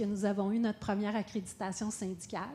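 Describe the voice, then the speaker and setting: A woman of medium pitch speaks in a Quebec accent at a moderate pace, her dark, mellow tone held in a monotone, flat intonation. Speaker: businesswoman, panelist. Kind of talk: panel talk. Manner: hesitant, many fillers.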